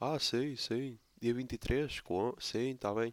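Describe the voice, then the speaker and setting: On a very clean recording with a silent background and a dry, close sound without echo, a man speaks at a medium pitch. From Portugal, Póvoa de Lanhoso (Minho). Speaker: podcast host. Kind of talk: casual solo monologue.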